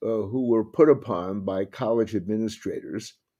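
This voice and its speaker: Against a quiet background, a man with a Brooklyn accent speaks at medium pitch in a dark, mellow tone with ordinary pitch variation. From New York, Brooklyn. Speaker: civil liberties lawyer. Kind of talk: interview. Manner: hesitant, many fillers.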